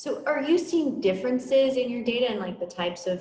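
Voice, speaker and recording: Noticeable background noise around a woman's voice with an American accent. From USA. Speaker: podcast host. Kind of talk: interview.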